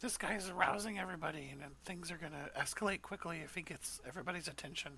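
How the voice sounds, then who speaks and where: A raspy, put-on character voice races along at a very fast pace over clear background noise. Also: female-sounding voice, fairly low pitch for a woman. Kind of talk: military radio chatter. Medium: actual play. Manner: clipped, procedural.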